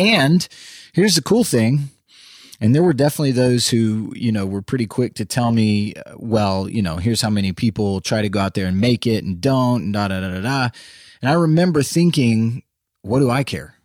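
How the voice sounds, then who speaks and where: Over a very clean recording with a silent background, an American-accented man speaks at a fairly quick pace in an energetic tone with lively intonation. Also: medium pitch for a man. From Central Texas. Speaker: podcast host, former country musician, real estate developer. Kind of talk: solo podcast monologue.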